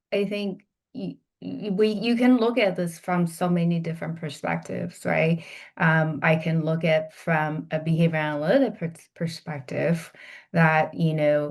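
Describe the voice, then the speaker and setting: With a Chinese accent, a woman talks at a fairly slow pace in a fairly low voice, using ordinary pitch variation over a quiet background. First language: Mandarin Chinese. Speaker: healthcare executive, behavior analyst. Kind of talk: podcast interview. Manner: halting, many fillers and restarts.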